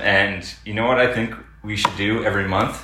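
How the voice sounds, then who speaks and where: The speaker talks at a moderate pace with a Canadian accent. Noticeable background noise and audible room echo fill the recording. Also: man. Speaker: podcast co-host. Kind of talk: casual chat. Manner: mumbling.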